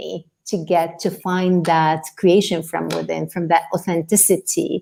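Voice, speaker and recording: On a very clean recording with a silent background, a woman speaks very slowly in a dark, mellow tone with fairly even intonation. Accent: non-native. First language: not English. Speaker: life coach. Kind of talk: podcast interview.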